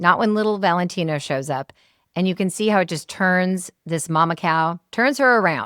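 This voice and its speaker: In a plain, everyday voice with an American accent, a woman speaks at a moderate pace and fairly low pitch with ordinary pitch variation, the sound dry and close with no echo on a very clean recording with a silent background. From Seattle. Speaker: podcast host. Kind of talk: interview closing and outro.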